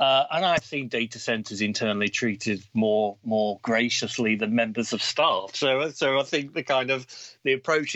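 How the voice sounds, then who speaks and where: A man with an English accent speaks at a moderate pace and medium pitch, with ordinary pitch variation. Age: 40s. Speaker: cybersecurity executive. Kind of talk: casual interview.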